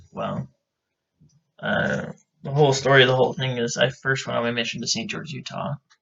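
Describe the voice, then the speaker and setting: An American-accented man talks at a medium pitch and a fairly quick pace. His intonation stays fairly even, broken by long, frequent pauses. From Idaho, US. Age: 20s. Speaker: podcast co-host. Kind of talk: casual chat. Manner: hesitant, with fillers.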